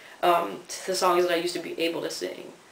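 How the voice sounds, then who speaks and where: There is audible room echo and noticeable background noise. A man with an American accent speaks at a moderate pace. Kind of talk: casual video diary. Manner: casual, lots of fillers.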